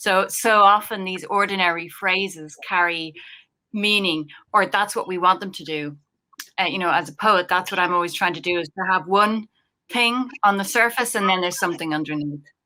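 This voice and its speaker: With an Irish accent, a woman talks at a moderate pace and medium pitch in a bright, sharp tone. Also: ordinary pitch variation. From Ireland. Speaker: poet. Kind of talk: panel discussion.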